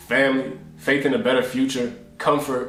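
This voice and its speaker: With an American accent and lively intonation, a man talks amid noticeable background noise and audible room echo. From US Northeast, South Jersey. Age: 20s. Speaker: lifestyle vlogger. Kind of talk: casual reflective monologue. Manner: earnest, halting repetitions.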